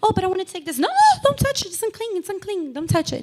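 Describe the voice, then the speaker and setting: An animated tone with a non-native accent. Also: woman. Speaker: lay preacher. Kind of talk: sermon.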